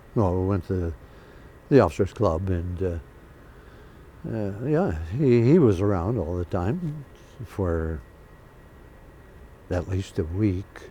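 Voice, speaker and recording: Very deep and low, a man's dark, mellow, somewhat breathy voice moves at a very slow pace with lively intonation and long, frequent pauses. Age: 80s+. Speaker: Korean War veteran pilot. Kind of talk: oral history interview. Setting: museum.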